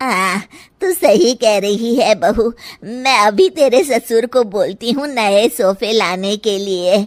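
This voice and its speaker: Using a cartoonish character voice, a woman speaks at a fairly high pitch with lively intonation. Her pace is fairly slow. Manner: blunt, familiar.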